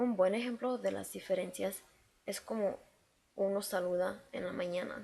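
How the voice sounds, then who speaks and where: A woman's dark, mellow tone at a medium pitch and a fairly slow pace. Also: ordinary pitch variation. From Mexico City, later Chicago. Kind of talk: class presentation.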